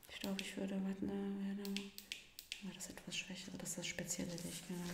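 Whispering and soft-spoken at a fairly quick pace, the voice comes through noticeable background noise. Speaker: investigator in role-play. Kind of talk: ASMR role-play, quiet conversational talk. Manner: whispered, soft-spoken. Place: studio.

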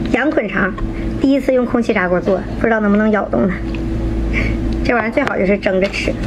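The speech has long, frequent pauses. Noticeable background noise runs underneath. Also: woman. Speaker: mukbang host. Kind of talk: live-stream sales pitch mixed with mukbang eating. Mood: cheerful, pleased with food. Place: home room. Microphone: phone near.

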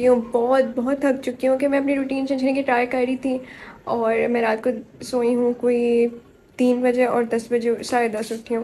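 A high-pitched woman's voice with a dark, mellow tone, flat monotone intonation and a moderate pace, over light background noise. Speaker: vlogger. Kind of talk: casual vlog chat. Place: home room. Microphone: phone near.

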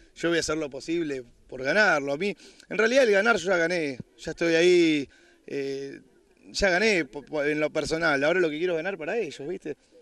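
The man's pitch is fairly high, with ordinary variation. The background is quiet. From Buenos Aires, Argentina. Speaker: reality show contestant donating to charity. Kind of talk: interview. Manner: halting.

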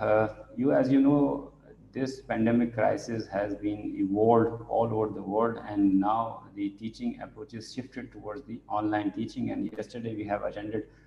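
Audible room echo and light background noise surround the recording. A man speaks at a moderate pace with fairly even intonation. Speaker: webinar presenter. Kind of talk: lecture. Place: home room. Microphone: earbuds.

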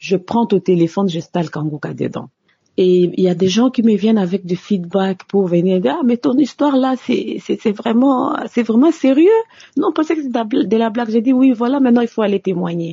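Somewhat breathy, a woman speaks at a fairly high pitch and moderate pace. Her pitch swings very widely. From DR Congo. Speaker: office worker giving testimony. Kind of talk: recorded testimony.

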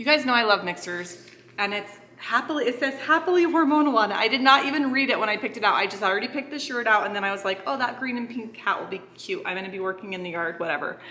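Against light background noise, a woman talks at a very fast pace with lively intonation. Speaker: family vlogger. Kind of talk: casual vlog chat with sponsor mention. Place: kitchen. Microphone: phone near.

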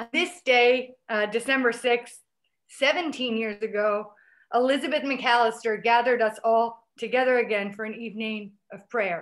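Loudness swings widely in this moderately paced speech, with ordinary pitch variation and a quiet background. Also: woman. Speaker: peace activist. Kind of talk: prepared remarks. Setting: video call. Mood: calm, reverent. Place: home room. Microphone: webcam.

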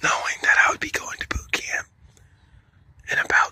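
A man's breathy whispering. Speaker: Marine Corps recruit telling a personal story. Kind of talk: whispered ASMR storytime. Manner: breathy, whispered. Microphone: phone near.

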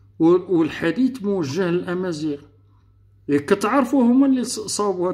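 Against a quiet background, a man with a Moroccan accent speaks at a high pitch and a fairly slow pace. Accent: Moroccan Darija. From Morocco. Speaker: political youtuber. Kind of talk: political monologue. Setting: online live room. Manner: animated. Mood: argumentative, indignant. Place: home room. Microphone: webcam.

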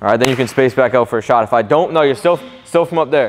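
A man talks in an animated tone at a fairly high pitch. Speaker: basketball trainer. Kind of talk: coaching instruction during workout. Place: gym.

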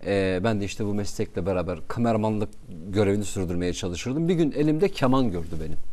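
Here a man speaks with a Kurdish accent. His fairly low voice has a dark, mellow tone. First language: Kurdish (speaking Turkish). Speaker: radio presenter; talk show guest. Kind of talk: casual chat. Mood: warm, reflective, smiling. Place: studio. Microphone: lapel.

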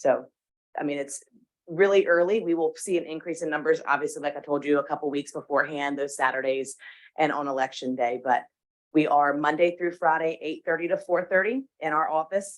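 The speaker talks at a fairly quick pace against a quiet background. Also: woman, very deep, low pitch for a woman, ordinary pitch variation. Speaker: election official. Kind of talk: meeting report. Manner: loud.

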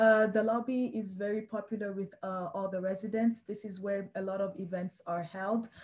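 This woman's delivery is monotone and flat, with hardly any pauses. Her voice is somewhat breathy. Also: moderate pace. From Delaware. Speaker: student resident assistant. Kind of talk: guided campus tour. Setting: video call. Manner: hesitant, with many fillers. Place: home room. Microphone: video call.

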